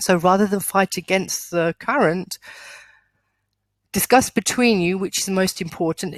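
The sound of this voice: A husky, put-on character voice moves at a moderate pace with long, frequent pauses. The sound is dry and close, with no echo. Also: woman, medium pitch for a woman.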